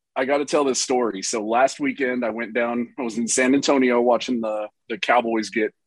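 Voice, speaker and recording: A man with a Texan accent talks at a moderate pace and medium pitch with fairly even intonation. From Texas. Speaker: YouTuber. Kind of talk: casual chat.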